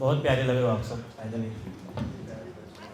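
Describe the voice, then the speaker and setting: A man speaks against noticeable background noise. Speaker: poet. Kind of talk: casual talk to live audience.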